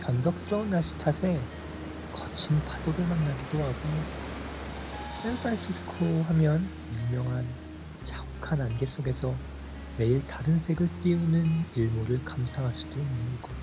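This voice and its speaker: Music plays in the background as a calm voice moves at a fairly slow pace with long, frequent pauses. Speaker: meditation narrator. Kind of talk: relaxing meditation narration. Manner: calm, relaxing.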